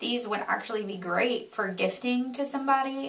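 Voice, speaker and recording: Speaking at a fairly quick pace with lively intonation, a woman with a Southern US accent is heard through audible room echo and noticeable background noise. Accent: southern American. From Florida, US South. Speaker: beauty vlogger. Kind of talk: product review vlog; reading aloud. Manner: animated.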